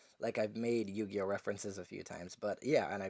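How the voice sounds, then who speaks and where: A man's fairly quick, fairly low-pitched speech with an American accent, on a very clean recording with a silent background. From Guyana. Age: 20s. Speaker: youtuber. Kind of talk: casual vlog talk.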